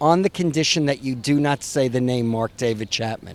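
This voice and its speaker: A man talks at a moderate pace in a New York accent. His intonation is lively. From New York City. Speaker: author. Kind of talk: interview.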